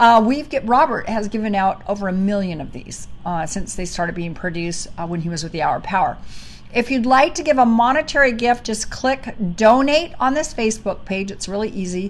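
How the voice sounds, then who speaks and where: A fairly high-pitched woman talks at a fairly quick pace with very wide pitch swings. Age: 60s. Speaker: ministry co-host. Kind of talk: podcast closing remarks and appeal for donations. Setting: livestream on social media. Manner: casual, halting.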